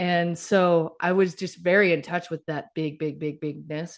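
Monotone, flat intonation with an American accent, against a quiet background. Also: woman. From US South, Mississippi. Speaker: author and keynote speaker. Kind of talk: casual interview chat.

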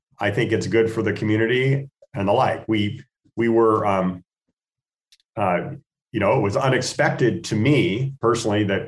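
With an American accent, a man speaks at moderate pace and medium pitch in a somewhat breathy voice with ordinary pitch variation. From US Northwest, Spokane, Washington. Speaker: golf tournament foundation chairman. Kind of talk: radio interview.

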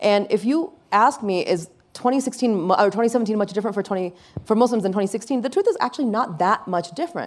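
A woman with a General American accent, fairly high-pitched, very fast and with lively intonation. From USA. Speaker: attorney and activist. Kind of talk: panel discussion. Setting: stage with audience.

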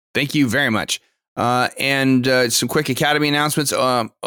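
In an American accent with a bright, sharp tone, the speaker talks at a moderate pace with fairly even intonation, in a very clean recording with a silent background and a dry, close sound with no echo. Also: man. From United States. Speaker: gaming podcast host. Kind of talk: casual chat.

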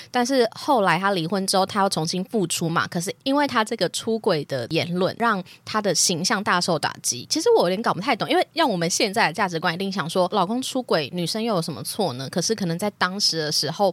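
Speaking in an ordinary speaking voice, a woman moves at a fairly quick pace with hardly any pauses, her medium pitch carrying lively intonation. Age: 20s. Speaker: podcast host. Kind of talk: casual chat.

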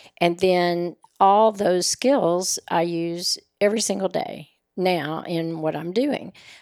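Very slowly and with ordinary pitch variation, a woman speaks. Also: fairly low pitch for a woman. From Oklahoma, raised in Nashville, Tennessee. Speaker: personal concierge business owner. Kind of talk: casual interview.

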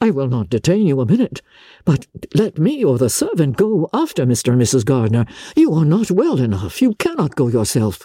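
A woman does a put-on character voice, low in pitch for a woman, with a dark, mellow tone and a slightly husky edge. She talks at a fairly quick pace with very wide pitch swings, and the sound is dry and close with no echo.

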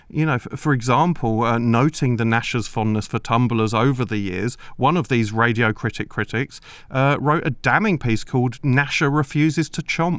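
A man with a British accent speaks at a medium pitch and moderate pace in a very clean recording with a silent background. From Britain. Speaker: comedy podcast co-host, children's author. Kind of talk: deadpan mock-documentary comedy chat.

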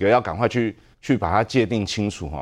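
A man talks over a quiet background. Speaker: city councillor. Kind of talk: political talk show debate.

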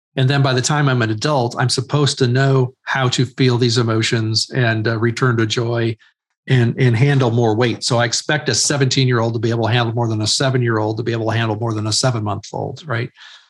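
Speaking at a fairly quick pace, a man with a medium pitch sounds somewhat breathy and keeps a monotone, flat intonation. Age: 50s. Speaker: author and ministry leader. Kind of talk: interview.

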